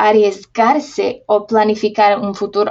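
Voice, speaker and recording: A woman with a fairly high pitch speaks at a fairly slow pace with fairly even intonation. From Slovakia. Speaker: researcher on social responsibility. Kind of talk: interview. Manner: halting.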